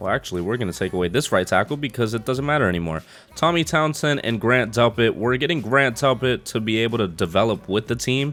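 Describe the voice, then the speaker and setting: The speech runs at a very fast pace. Music plays in the background. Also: man. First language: not English. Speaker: gaming YouTuber. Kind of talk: gameplay commentary. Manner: casual, thinking aloud.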